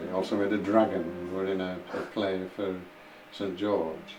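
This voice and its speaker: A man speaks with a Yorkshire accent. There is music in the background and audible room echo. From northern England, Huddersfield, West Yorkshire. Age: 80s+. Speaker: war-time eyewitness. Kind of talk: oral history interview. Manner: halting, with repetitions.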